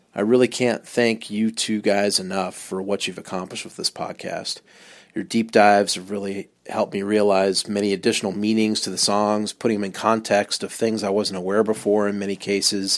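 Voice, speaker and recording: A man with an American accent, fairly low-pitched and monotone, at a fairly quick pace with hardly any pauses, in a very clean recording with a silent background. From US West Coast, Long Beach, California. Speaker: podcast listener. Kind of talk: recorded voice message.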